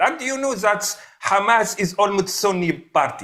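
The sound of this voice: The tone is bright and sharp, with lively intonation. The pace is fairly slow. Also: man.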